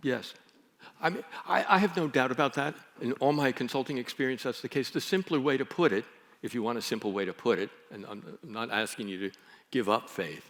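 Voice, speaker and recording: With an American accent and an ordinary speaking voice, a man talks at a fairly quick pace and a medium pitch, with lively intonation and big swings in loudness. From United States. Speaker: philosopher and leadership consultant. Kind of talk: conference talk with Q&A.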